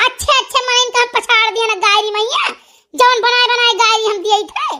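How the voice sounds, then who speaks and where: This is a squeaky, cartoonish character voice at a moderate pace. Its intonation stays fairly even. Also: woman, extremely high pitch for a woman. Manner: combative, scornful.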